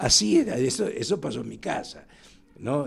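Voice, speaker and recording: This man's voice carries vocal fry. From Argentina, Lanús (Buenos Aires area). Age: 80s+. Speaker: historian. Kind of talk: interview. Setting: studio.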